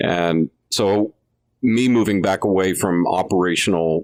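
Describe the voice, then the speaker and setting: A man with a plain, everyday voice speaks at a fairly low pitch with ordinary pitch variation, recorded with a dry, close sound and no echo. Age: 50s. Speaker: business owner. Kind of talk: podcast panel discussion.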